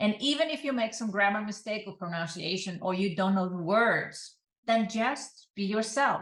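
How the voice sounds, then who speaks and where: A woman with a somewhat breathy, medium-pitched voice and a non-native accent, at a moderate pace. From Iceland. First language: Icelandic. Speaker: online business coach. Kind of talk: advice talk to camera.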